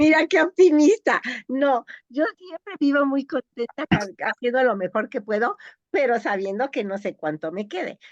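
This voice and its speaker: A woman talks at a moderate pace with very wide pitch swings. The sound is dry and close with no echo, over a quiet background. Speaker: geneticist. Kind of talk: interview.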